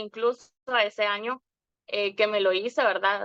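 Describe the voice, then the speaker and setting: A woman's fairly high, bright, sharp voice at a very slow pace, monotone and flat in intonation, with a dry, close sound and no echo. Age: 40s. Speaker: wellness program client. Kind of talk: testimony. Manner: halting, many filler words.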